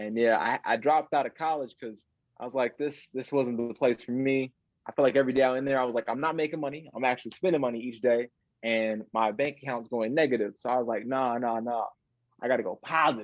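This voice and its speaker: A man with an American accent talks at a very fast pace, his medium-pitched voice held to fairly even intonation. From Chicago area, Illinois (north of the city). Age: 20s. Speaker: illusionist. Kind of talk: interview.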